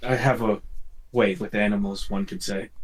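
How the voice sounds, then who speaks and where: Using a put-on character voice, a man with a fairly low pitch speaks at a moderate pace. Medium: actual play. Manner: dry, calm.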